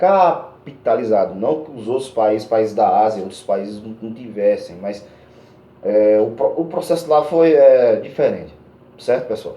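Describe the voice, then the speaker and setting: Noticeable background noise and audible room echo surround a man speaking at a fairly slow pace with ordinary pitch variation. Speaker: schoolteacher. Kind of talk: lecture. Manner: halting, many fillers.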